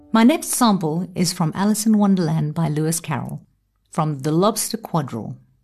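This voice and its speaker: A woman with a fairly low, somewhat breathy voice speaks at a moderate pace in a solemn, animated tone with lively intonation. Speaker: audiobook narrator. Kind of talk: dramatic audiobook narration, reading aloud with character voices. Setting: studio. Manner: animated and expressive, theatrical, shifting tone for each character; solemn, suspenseful delivery in the thriller excerpt.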